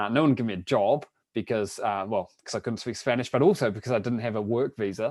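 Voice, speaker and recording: Very fast speech from a man with a New Zealand accent, medium-pitched, with ordinary pitch variation. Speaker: online business coach. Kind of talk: webinar presentation. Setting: live webinar broadcast.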